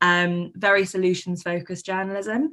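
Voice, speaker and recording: A woman with a southern English accent on a very clean recording with a silent background. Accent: southern English, noticeable. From London and Surrey area. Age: 20s. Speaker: journalist and producer. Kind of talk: conference talk.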